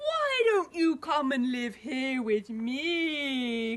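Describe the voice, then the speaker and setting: Using a put-on character voice, a woman with a high pitch speaks at a very slow pace. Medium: read story.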